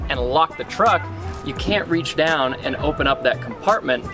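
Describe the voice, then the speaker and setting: A man at a moderate pace over clear music in the background. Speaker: car reviewer. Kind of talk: product demo commentary. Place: street.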